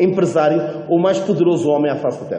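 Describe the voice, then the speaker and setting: A man in a European Portuguese accent at a fairly quick pace, with noticeable background noise and audible room echo. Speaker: preacher. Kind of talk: sermon. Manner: hesitant, repeats words.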